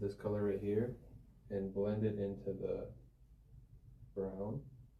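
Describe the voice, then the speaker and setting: Against audible room echo, a man with an American accent speaks fairly slowly in a fairly low, somewhat breathy voice with fairly even intonation. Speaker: professional painter. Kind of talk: painting tutorial.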